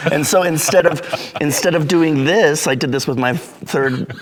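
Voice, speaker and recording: At a moderate pace and with ordinary pitch variation, a man talks over noticeable background noise. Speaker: orchestra horn player. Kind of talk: casual chat.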